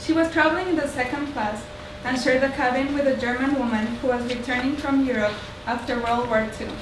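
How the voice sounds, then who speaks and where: Talking at a fairly quick pace in a high pitch, a woman is heard with audible room echo and noticeable background noise. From Mexico. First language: Spanish. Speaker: artist and researcher giving a talk. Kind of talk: public talk. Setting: library talk with audience.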